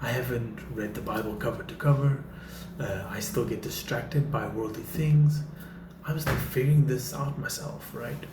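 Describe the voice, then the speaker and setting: A man talks at a moderate pace and fairly high pitch with ordinary pitch variation, while audible room echo and noticeable background noise fill the recording. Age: 30s. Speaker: faith vlogger. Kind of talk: motivational talk to camera. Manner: casual, with filler words.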